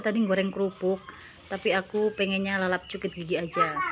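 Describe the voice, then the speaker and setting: A woman speaks at a fairly quick pace, her voice at a medium pitch, with noticeable background noise behind her. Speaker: cooking and eating vlogger. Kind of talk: voiceover narration for a cooking and eating vlog. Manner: casual, chatty.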